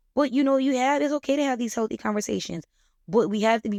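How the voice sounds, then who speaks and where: Her tone animated and her intonation lively, a woman speaks on a very clean recording with a silent background and a dry, close sound with no echo. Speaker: podcast host. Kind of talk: casual monologue. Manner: fast.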